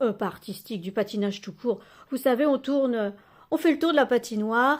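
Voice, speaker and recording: A woman's voice, with ordinary pitch variation and a moderate pace, comes through on a very clean recording with a silent background. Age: 60s. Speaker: journaling and oracle content creator. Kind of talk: casual tutorial. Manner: hesitant, many fillers; gentle.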